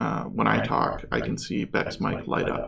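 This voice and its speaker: A man is speaking. His pace is fairly slow. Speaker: live streamer and artist. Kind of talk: casual chat. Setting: live stream. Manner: loud. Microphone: echo, bleeding into co-host's mic.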